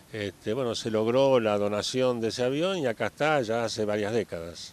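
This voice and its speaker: A man speaks in a normal speaking voice at a moderate pace, medium pitch and ordinary pitch variation. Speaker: founder's child, local resident. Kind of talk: interview. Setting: outdoors, in a town plaza.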